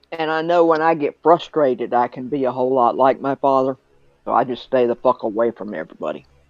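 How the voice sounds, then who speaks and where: A man talks at a very fast pace over a quiet background. The sound is dry and close, with no echo. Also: medium pitch for a man, ordinary pitch variation. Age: 60s. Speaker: stream guest sharing personal experience. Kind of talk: casual chat.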